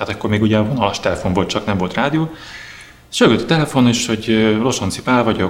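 A man at a very fast pace, medium pitch and ordinary pitch variation. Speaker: drummer. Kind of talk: interview storytelling. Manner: halting.

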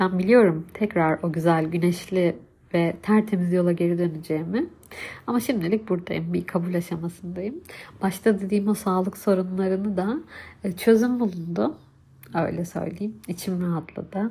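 Somewhat breathy, a woman speaks at a medium pitch with a dark, mellow tone. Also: ordinary pitch variation, moderate pace. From Turkey, Hatay. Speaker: podcast host, mother. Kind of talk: personal monologue. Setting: home recording, separate room.

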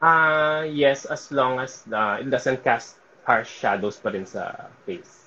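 Hardly any pauses break this man's very slow pace. His fairly high pitch has a bright, sharp tone. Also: ordinary pitch variation. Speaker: events and sports photographer. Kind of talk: casual interview.

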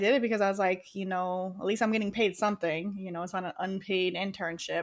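Recorded very cleanly against a silent background, a woman with an American accent speaks at a medium pitch. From Rochester, New York, US. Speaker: podcast co-host. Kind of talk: casual chat.

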